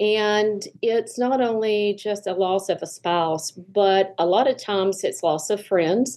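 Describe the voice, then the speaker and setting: A woman with a Southern US accent talks at a very slow pace with very even loudness. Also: medium pitch for a woman, ordinary pitch variation, hardly any pauses. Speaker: therapist. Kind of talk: podcast interview.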